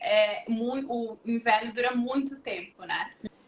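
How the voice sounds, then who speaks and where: A woman's high voice at a very slow pace, with noticeable background noise. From southern Brazil, Porto Alegre. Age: 30s. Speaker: recruitment professional. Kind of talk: interview on a livestream.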